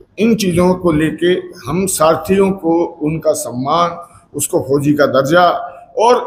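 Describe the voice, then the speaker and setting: Pitched high, a man's voice comes through audible room echo with noticeable background noise behind it. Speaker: transport industry veteran. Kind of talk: press conference statement. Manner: hesitant, with filler sounds.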